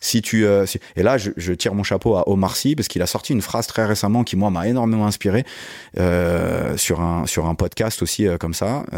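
A man with a fairly low pitch, ordinary pitch variation and a moderate pace. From Paris region, Yvelines (Guyancourt). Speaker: sports management consultant and youth football coach. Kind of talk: interview. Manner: casual, hesitant with many fillers.

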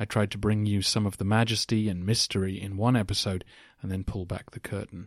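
A man speaks at a fairly quick pace in a fairly low voice, with monotone, flat intonation. The recording is very clean, with a silent background. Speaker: podcast host. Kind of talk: scripted-style answers to listener questions, educational talk.

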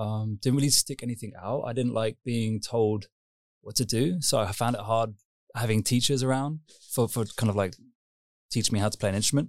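In a southern English accent, the speaker keeps fairly even intonation at a fairly quick pace on a very clean recording with a silent background. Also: man, medium pitch for a man. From southern England, Surrey near London. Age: 30s. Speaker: techno DJ and producer. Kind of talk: interview. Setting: on camera.

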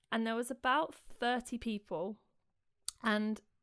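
Fairly slow speech in a British accent. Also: woman. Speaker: singer-songwriter and busker. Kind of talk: casual interview chat. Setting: remote call.

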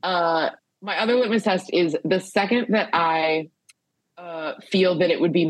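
A woman has an unremarkable speaking voice with a fairly low pitch. Her intonation is lively. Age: 30s. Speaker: comedian. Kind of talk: casual chat.

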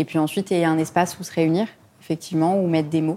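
A woman with an ordinary speaking voice, pitched fairly low. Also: very clean recording, silent background. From Lebanon. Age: 20s. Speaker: charity founder. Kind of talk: interview.

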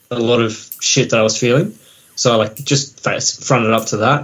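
A man speaks in an Australian accent. His pitch is medium. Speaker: metal band musician. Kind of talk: casual interview chat. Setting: video call.

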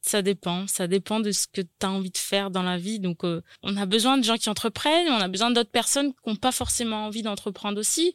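With an ordinary speaking voice, a woman talks at a fairly quick pace with hardly any pauses, using a medium pitch with ordinary variation, in a dry, close sound with no echo. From New Caledonia, Nouméa. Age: 20s. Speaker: caterer and business owner. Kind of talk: interview. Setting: studio.

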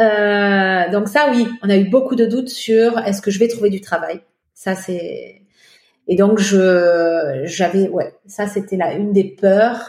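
The speaker is a woman talking very slowly. Her pitch shifts by an ordinary amount. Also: medium pitch for a woman. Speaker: French immigrant in Quebec. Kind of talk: interview testimony.

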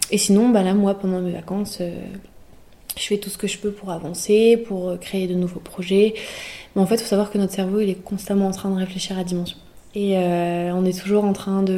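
At a moderate pace, a woman speaks in a medium pitch with a dark, mellow tone, monotone, flat intonation, and long, frequent pauses. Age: 18. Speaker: student entrepreneur. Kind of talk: interview. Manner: halting.

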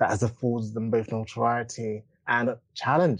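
A man talks with a pitch sitting in the middle range. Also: quiet background. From East London, England. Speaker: podcast host. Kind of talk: interview.

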